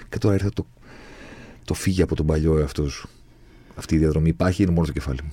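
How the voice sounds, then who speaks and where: A man's very deep, low, somewhat breathy voice with a dark, mellow tone, very fast pace, and long, frequent pauses. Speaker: podcast host. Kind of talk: casual chat. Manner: animated.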